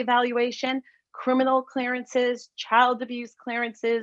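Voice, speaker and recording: She is a woman with a plain, everyday voice. Her pitch sits fairly high. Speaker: lawyer. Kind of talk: panel presentation.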